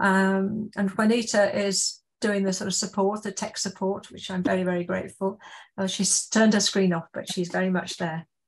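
A somewhat breathy woman at a moderate pace, her intonation monotone and flat. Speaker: event host. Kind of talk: formal opening remarks. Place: home room. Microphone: video call.

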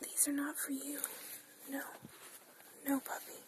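A soft-spoken whisper at a moderate pace, with noticeable background noise and a dry sound that has no echo. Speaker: nail polish collection vlogger. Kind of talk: casual vlog chat. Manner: soft whisper, shooing a puppy. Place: home room.

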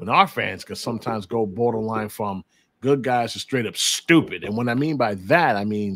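The sound is dry with no echo. A man speaks at a moderate pace with ordinary pitch variation. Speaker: podcast host. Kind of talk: podcast commentary. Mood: exasperated, opinionated. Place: home room.

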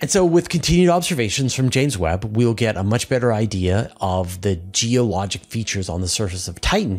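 This man's voice sits at a fairly low pitch. He speaks at a moderate pace. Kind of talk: science explainer commentary. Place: home room. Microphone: studio mic.

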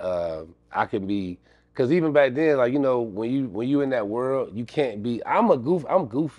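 The setting is quiet. A man is speaking fairly quickly. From Akron, Ohio; Ohio. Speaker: comedic actor. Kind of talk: casual interview. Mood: relaxed, reflective storytelling. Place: studio.

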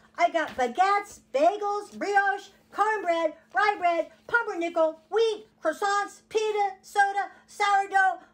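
A cartoonish character voice, female-sounding, extremely high in pitch for a woman and fairly slow in pace. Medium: puppet.

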